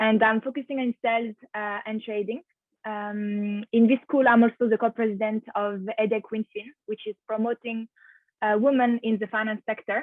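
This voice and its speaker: In a French accent, a woman talks at a moderate pace with a fairly high pitch and monotone, flat intonation. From France. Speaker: finance master's student. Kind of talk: webinar presentation.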